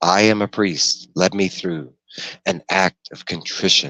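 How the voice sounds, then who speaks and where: In a put-on character voice, a man talks at a fairly slow pace with a very deep, low pitch and ordinary pitch variation over a quiet background. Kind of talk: formal. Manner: calm, ominous, grave.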